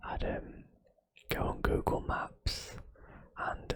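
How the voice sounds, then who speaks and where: A man whispers. He speaks at a very slow pace. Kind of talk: ASMR exploration narration. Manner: casual, hesitant, relaxed.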